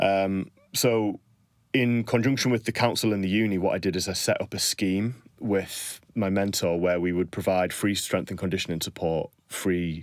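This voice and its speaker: With a northern English accent, a man speaks at a moderate pace in a fairly low pitch and fairly even intonation. The recording is very clean, with a silent background. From northern England. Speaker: strength and conditioning coach. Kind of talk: podcast interview. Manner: conversational, hesitant fillers.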